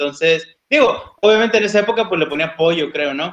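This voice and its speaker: Pitched high, a man's voice shows an ordinary amount of pitch movement. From Oaxaca, Mexico. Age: 30s. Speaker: vegan interviewee, office worker. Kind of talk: casual interview chat.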